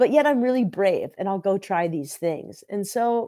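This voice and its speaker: In a Californian accent, a woman with a dark, mellow tone makes very wide pitch swings, heard on a very clean recording with a silent background. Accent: Californian American. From US West Coast, San Diego. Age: 40s. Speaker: podcast host and author. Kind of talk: casual interview chat.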